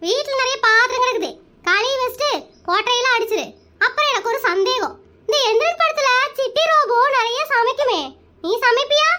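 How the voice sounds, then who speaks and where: The voice sounds female and speaks at a moderate pace. It is a cartoonish character voice with extremely high pitch. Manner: chatty, addresses husband as mama.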